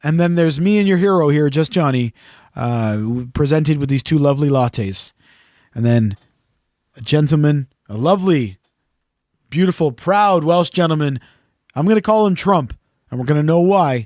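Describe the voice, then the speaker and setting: Recorded dry and close with no echo, a man speaks at a moderate pace in a fairly high voice. His intonation is lively, with long, frequent pauses. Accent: Canadian. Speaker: podcast co-host. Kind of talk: casual chat. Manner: animated storytelling.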